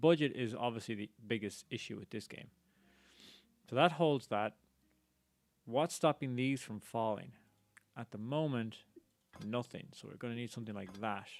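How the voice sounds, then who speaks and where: A man with an Irish accent at medium pitch, moderate pace and ordinary pitch variation, broken by long, frequent pauses. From Ireland. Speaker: game streamer. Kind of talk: live gameplay commentary.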